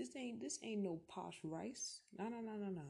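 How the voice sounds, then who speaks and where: A woman's dark, mellow, somewhat breathy tone with lively intonation. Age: 18. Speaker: solo podcaster. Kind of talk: casual monologue. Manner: rambling, casual.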